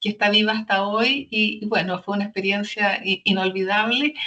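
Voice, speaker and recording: Bright and sharp in tone, a woman's medium-pitched voice moves at a moderate pace with fairly even intonation. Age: 70s. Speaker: social entrepreneur. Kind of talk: interview testimony. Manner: halting, many repetitions.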